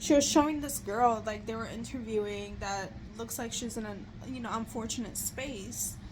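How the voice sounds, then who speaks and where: At a moderate pace, a woman speaks with a fairly high pitch, ordinary pitch variation and vocal fry. Her loudness swings widely, and room echo is audible. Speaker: vlogger. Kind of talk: casual chat. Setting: lying in bed at home. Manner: halting, many fillers.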